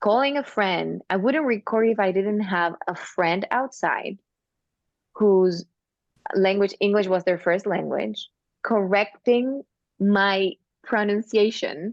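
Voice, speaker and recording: Using a non-native accent, a woman speaks at a medium pitch and a very slow pace, with long, frequent pauses, ordinary pitch variation and very even loudness. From Argentina, small town. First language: Spanish. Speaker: singer and actress. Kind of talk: casual interview chat.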